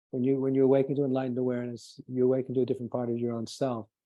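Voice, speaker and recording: His tone is dark and mellow. The man speaks at a medium pitch. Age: 60s. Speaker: spiritual teacher. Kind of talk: lecture. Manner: halting, with frequent restarts.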